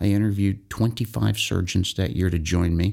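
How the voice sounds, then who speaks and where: A man talks with an American accent on a very clean recording with a silent background. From Tarrytown, New York. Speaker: surgeon. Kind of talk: interview. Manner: outspoken.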